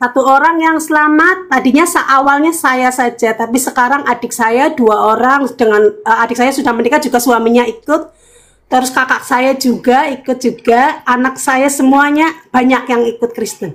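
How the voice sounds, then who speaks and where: A woman's high voice with ordinary pitch variation and very even loudness. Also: moderate pace. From Cilacap, Central Java, Indonesia. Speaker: convert telling her story. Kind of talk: testimony on a live video call. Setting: video call. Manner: halting, many fillers.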